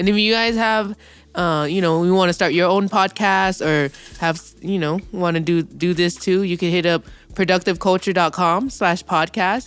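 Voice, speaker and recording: Someone with an American accent talks at a moderate pace over music in the background. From Inland Empire, Southern California. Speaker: podcast co-host, music event promoter. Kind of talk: casual chat.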